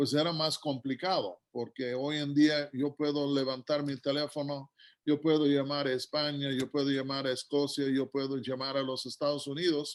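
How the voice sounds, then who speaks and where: Speaking in a normal speaking voice, a man with a fairly high pitch goes at a fairly slow pace. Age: 60s. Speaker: guest preacher. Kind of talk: sermon.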